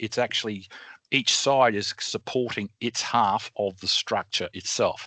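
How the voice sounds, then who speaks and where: Recorded dry and close with no echo, a man talks at a fairly slow pace in a medium-pitched voice with a bright, sharp tone and fairly even intonation. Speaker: engineer. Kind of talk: educational webinar explanation. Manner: casual, hesitant.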